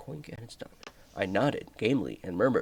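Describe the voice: Someone reads aloud. The reading is plain.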